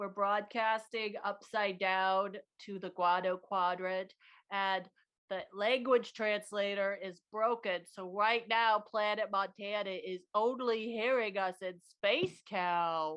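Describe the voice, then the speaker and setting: A put-on character voice, female-sounding and medium in pitch for a woman, at a fairly slow pace. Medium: game stream. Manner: peppy, cheerful.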